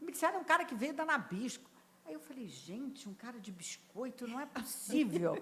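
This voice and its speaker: A woman with a Rio de Janeiro accent speaks at a high pitch with very wide pitch swings. Her loudness swings widely too. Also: moderate pace. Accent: carioca. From Rio de Janeiro, Brazil. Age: 70s. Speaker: HR executive. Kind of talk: podcast interview.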